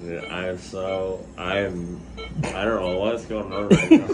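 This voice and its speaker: Noticeable background noise behind a man speaking at a very slow pace. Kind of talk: casual vlog chat. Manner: slurred, groggy post-anesthesia speech.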